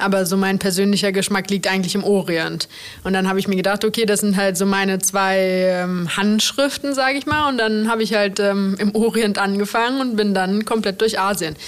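A woman speaks at a fairly quick pace with fairly even intonation and very even loudness. Noticeable background noise runs behind her. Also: medium pitch for a woman. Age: 30s. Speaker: chef, restaurant owner. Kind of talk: interview.

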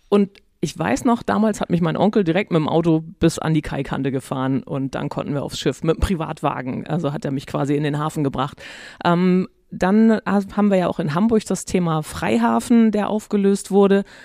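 A dark, mellow tone with lively intonation at a moderate pace. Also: woman, fairly low pitch for a woman. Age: 50s. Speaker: podcast host. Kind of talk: interview.

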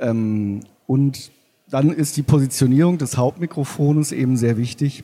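Dark and mellow in tone, a man speaks at a fairly slow pace with ordinary pitch variation. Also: medium pitch for a man. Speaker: sound engineer. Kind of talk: interview. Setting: stage with audience.

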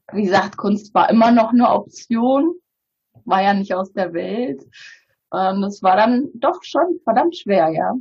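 Somewhat breathy and very slow, a woman speaks at a medium pitch with very wide pitch swings. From Bulgaria. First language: Bulgarian (speaking German). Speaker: publisher. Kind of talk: interview conversation.

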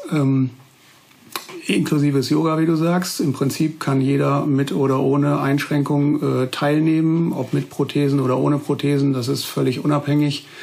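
This man's voice sits fairly high, with monotone, flat intonation and very even loudness at a moderate pace. Noticeable background noise runs under the recording. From Westphalia, Münsterland (Germany). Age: 40s. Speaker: prosthetist, orthopedic technician master. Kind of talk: interview, casual chat.

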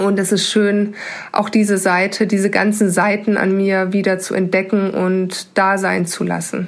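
Speaking at a fairly slow pace, a woman keeps a medium pitch in a flat, monotone delivery. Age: 30s. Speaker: financial controller. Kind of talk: pre-recorded personal testimony.

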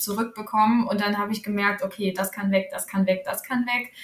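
Over noticeable background noise, a woman speaks at a fairly high pitch in a monotone, flat way. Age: 30s. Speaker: pharmacist and author. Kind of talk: podcast interview.

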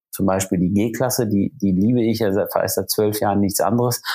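It is an unremarkable speaking voice: a man, fairly low in pitch, at a moderate pace with fairly even intonation. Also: very clean recording, silent background. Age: 40s. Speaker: luxury car dealer and TV motoring presenter. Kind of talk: podcast interview.

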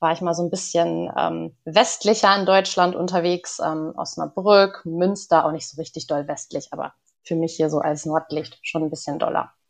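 Speaking at a moderate pace, a woman with a fairly low pitch keeps her intonation fairly even, with vocal fry. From northern Germany, Lower Saxony village. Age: 20s. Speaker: organisational psychologist. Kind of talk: podcast interview.

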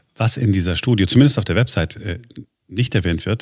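A man with a fairly low voice talks very fast, his pitch varying in an ordinary way. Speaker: podcast host. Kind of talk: news podcast.

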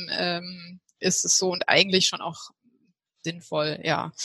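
A woman's voice with a bright, sharp tone. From Heidelberg, southwestern Germany. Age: 30s. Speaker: health coach, women's health expert. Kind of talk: interview.

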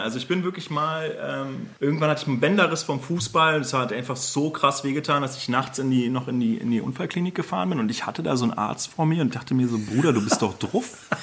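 Hardly pausing, a man talks at a very fast pace and a fairly high pitch, with noticeable background noise. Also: lively intonation. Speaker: lawyer. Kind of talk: casual chat.

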